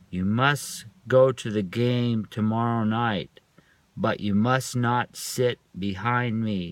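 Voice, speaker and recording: Using a put-on character voice, a man speaks at a very slow pace with a medium pitch. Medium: read story.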